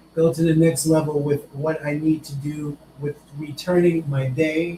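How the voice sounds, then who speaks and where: Over noticeable background noise, a man talks at a moderate pace. His fairly high voice has a monotone, flat intonation. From New York. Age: 60s. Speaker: testimony giver. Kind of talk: testimony.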